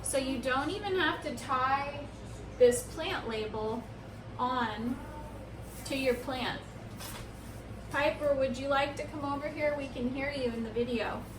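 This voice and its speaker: A loud woman speaks at a fairly slow pace with a high pitch, ordinary pitch variation and long, frequent pauses. Audible room echo and noticeable background noise fill the recording. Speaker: plant care YouTuber. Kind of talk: tutorial. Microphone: no microphone, camera audio.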